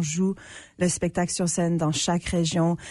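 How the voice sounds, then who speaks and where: Against a quiet background, a woman speaks at a moderate pace with a fairly low pitch and a somewhat breathy, dark, mellow tone. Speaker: actress and artistic associate. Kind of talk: casual interview chat. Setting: radio studio.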